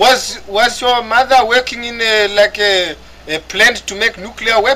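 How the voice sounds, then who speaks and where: Raising and projecting his voice, a man speaks at an extremely high pitch and a fairly slow pace with fairly even intonation. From Africa. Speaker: online gamer. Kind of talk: casual chat. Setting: voice chat.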